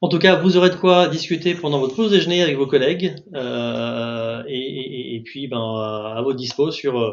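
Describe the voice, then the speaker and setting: Lively in intonation, a man speaks at a fairly high pitch. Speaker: market research consultant. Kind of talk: webinar presentation. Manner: fast.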